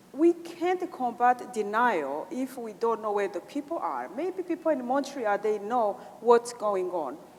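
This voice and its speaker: The voice rises and falls in very wide pitch swings at a fairly slow pace, with noticeable background noise. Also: woman, high pitch for a woman. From Rwanda. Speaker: genocide survivor, community organizer. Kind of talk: conference Q&A remarks. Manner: halting, many fillers.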